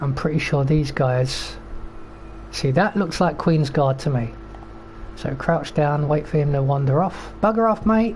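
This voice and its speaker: Long, frequent pauses break up speech in a British accent, with noticeable background noise behind it. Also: fairly slow pace. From Britain. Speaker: video game streamer. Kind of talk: gameplay commentary. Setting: live stream. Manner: casual, rambling with fillers.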